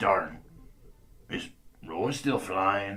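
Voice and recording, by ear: Putting on a character voice, a man speaks very slowly at a low pitch, with a bright, sharp tone and lively intonation.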